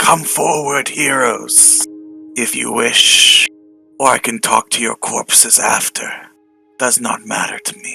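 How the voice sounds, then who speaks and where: A man whispers in a put-on character voice that turns shrill. He goes at a fairly slow pace, with faint music in the background. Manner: near-whisper that carries; menacing.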